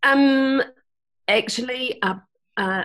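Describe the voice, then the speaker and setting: A woman with a New Zealand accent speaks at a fairly slow pace on a very clean recording with a silent background. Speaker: Jungian healer and teacher. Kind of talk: casual chat.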